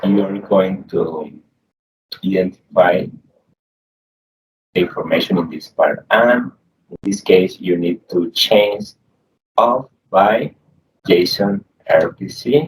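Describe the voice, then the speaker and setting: A man with a Spanish accent and a fairly low pitch, at a very slow pace with long, frequent pauses. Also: ordinary pitch variation. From Colombia. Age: young. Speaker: programming tutorial youtuber. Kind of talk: screen-share tutorial. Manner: halting, repeats words.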